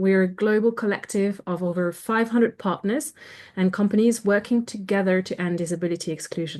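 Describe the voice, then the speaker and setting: A woman with a French accent talks at a fairly quick pace and medium pitch, with ordinary pitch variation over a quiet background. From France. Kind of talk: webinar presentation. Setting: video call.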